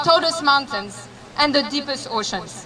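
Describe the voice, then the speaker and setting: Over noticeable background noise, a woman talks in a raised, projected voice. She keeps a moderate pace. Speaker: activist, protest organizer. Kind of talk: rally speech. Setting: outdoors at a rally.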